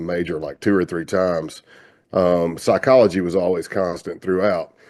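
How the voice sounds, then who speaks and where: Over a quiet background, a man with a Southern US accent speaks at a very deep, low pitch. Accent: Southern drawl. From US South, South Carolina. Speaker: retired FBI undercover agent. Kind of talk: interview conversation. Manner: casual, relaxed.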